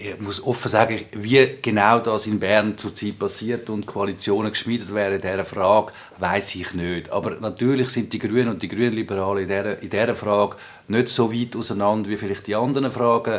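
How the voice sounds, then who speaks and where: An ordinary speaking voice from a man of fairly low pitch, at a moderate pace with fairly even intonation. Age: 40s. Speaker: politician. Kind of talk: interview.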